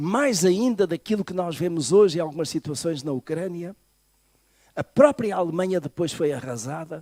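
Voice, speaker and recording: A man with a fairly high pitch and a dark, mellow tone speaks at a moderate pace with lively intonation. The sound is dry and close, with no echo. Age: 60s. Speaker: pastor. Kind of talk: sermon. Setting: church.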